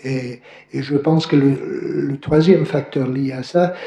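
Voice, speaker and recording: Speech moves at a very slow pace with fairly even intonation. Audible room echo surrounds it. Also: man. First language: English (speaking French). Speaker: professor. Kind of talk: academic Q&A answer. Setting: conference hall, also streamed by video. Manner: halting, many fillers.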